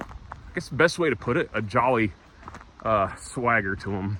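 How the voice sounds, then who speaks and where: Noticeable background noise sits behind this man with an American accent. His medium pitch shows ordinary pitch variation. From US South. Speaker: travel vlogger. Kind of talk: walk and talk vlog. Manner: casual, halting with many fillers.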